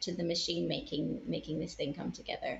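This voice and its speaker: A woman is speaking. She has a Northern Irish accent. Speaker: puppeteer. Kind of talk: casual chat.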